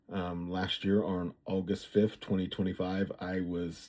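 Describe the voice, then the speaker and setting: A man speaks very slowly at a fairly low pitch, his tone dark and mellow. The recording is very clean, with a silent background. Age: 60s. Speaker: vlogger. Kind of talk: personal vlog monologue. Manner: halting, many fillers.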